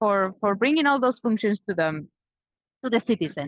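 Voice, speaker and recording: A woman with a Spanish accent and very wide pitch swings, in a dry, close sound with no echo. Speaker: Spanish teacher and tour guide. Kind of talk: live virtual tour guiding.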